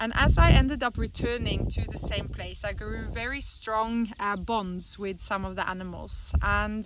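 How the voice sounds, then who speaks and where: Speaking with hardly any pauses, a woman with a Norwegian accent is heard over noticeable background noise. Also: moderate pace. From Norway. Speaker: animal sanctuary co-founder. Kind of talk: personal testimony.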